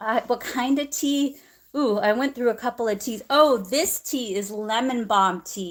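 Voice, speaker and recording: A woman with a high pitch speaks at a fairly slow pace with ordinary pitch variation. The recording is very clean, with a silent background. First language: not English. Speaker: acupuncturist. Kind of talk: live-stream tutorial. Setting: live stream.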